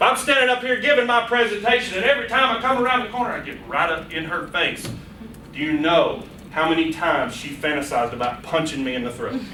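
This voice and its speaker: Loud and very fast, the voice swings widely in pitch, with noticeable background noise and audible room echo. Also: man, high pitch for a man. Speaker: public speaking workshop presenter. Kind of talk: workshop lecture. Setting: room with live audience. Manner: animated.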